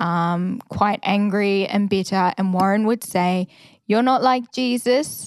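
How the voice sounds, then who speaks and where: A woman with an Australian accent at a medium pitch and a very slow pace, dry, close sound with no echo, very clean recording and silent background. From Australia, Victoria (Ballarat). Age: 20s. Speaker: first-year officer cadet. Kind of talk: casual interview. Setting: prayer room at a training college.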